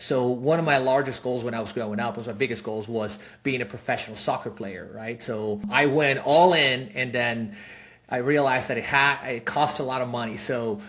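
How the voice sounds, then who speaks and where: Noticeable background noise sits behind a man's voice. He talks at a medium pitch with ordinary pitch variation. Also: moderate pace. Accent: Spanish. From Peru. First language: Spanish. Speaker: real estate investor, fund founder. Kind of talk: podcast interview. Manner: casual, many fillers.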